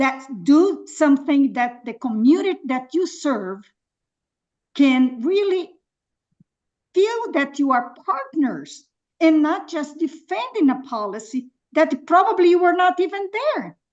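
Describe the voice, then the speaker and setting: A woman with a non-native accent speaks in a high voice with very wide pitch swings. Her speech has long, frequent pauses. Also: fairly slow pace. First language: not English. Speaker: public commenter at planning meeting. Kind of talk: public comment. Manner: halting; impassioned.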